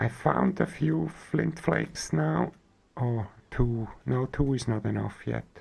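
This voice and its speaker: Someone with a German accent speaks at a very slow pace. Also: man. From Switzerland. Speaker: gaming streamer. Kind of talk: live gameplay stream chat.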